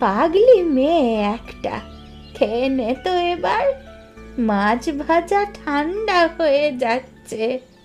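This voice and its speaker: A woman does a cartoonish character voice, high-pitched with very wide pitch swings. She talks at a very slow pace while clear music plays in the background. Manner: gentle, warm.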